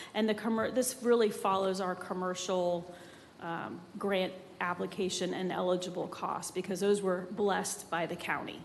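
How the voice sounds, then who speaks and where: A woman speaks with fairly even intonation amid audible room echo and noticeable background noise. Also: medium pitch for a woman, moderate pace. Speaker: city grants staff presenter. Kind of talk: public meeting presentation and Q&A. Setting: city commission chambers.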